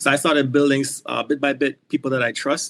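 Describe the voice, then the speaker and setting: In a Trinidadian accent, a man speaks very fast at a medium pitch with a dry, close sound and no echo. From Trinidad and Tobago. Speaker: motorcycle rider, foundation founder. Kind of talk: podcast interview. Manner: animated.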